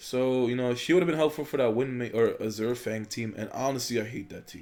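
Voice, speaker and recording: A man talks at a fairly quick pace with medium pitch and lively intonation. He has a plain, everyday voice. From Poland, moved to the US. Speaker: gaming YouTuber. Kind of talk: gameplay commentary. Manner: casual, filler-heavy.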